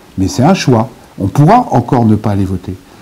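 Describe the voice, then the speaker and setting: Noticeable background noise runs under the audio. A man talks with very wide pitch swings. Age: 60s. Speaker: author and former politician. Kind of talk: interview. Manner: fast; animated.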